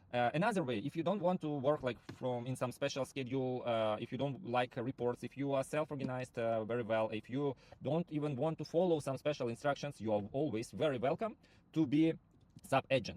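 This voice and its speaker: The speech moves at a fairly quick pace with ordinary pitch variation and a dry sound with no echo. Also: man. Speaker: rental platform founder; presenter. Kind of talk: sales pitch. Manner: halting, many fillers. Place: car. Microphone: phone near.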